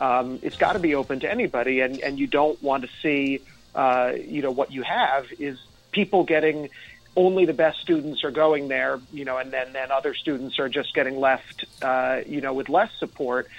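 With an American accent, a man uses an ordinary speaking voice at a fairly high pitch, keeping fairly even intonation at a moderate pace. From New York, Rockland County (Nyack). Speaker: state senate candidate, former teacher. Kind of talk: interview. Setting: phone call.

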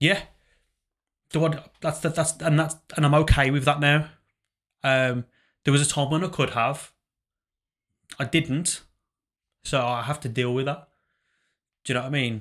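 A man's fairly high voice at a moderate pace, fairly even intonation, long and frequent pauses, and a very clean recording over a silent background. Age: 30s. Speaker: podcast co-host, former pro wrestler. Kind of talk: casual chat. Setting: studio.

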